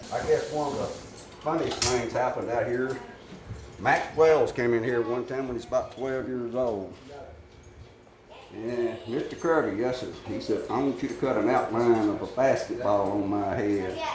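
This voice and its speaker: A man with an American accent speaks at a moderate pace. The room echo is audible and the background noise noticeable. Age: 70s. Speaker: barber. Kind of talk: interview storytelling.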